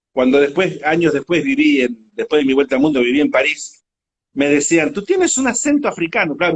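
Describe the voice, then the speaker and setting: A man sounds animated and talks at a fairly quick pace. His intonation is lively. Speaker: motorcycle world traveler. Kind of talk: interview. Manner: animated storytelling.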